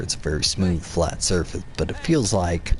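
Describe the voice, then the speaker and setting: With noticeable background noise behind him, a man talks in a very deep, low pitch. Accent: American. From US South. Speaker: video game streamer. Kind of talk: gameplay live stream chat. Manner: halting, many fillers and repetitions.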